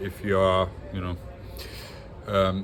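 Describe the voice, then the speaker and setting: Speaking with a non-native accent, this man has a very deep, low pitch. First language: not English. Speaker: industrial and yacht designer, design educator. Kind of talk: casual monologue on design. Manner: halting, many fillers.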